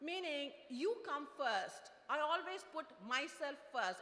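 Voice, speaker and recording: A woman speaks in a raised, projected voice with lively intonation. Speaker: product manager, invited speaker. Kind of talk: motivational talk. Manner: fast; halting, many fillers.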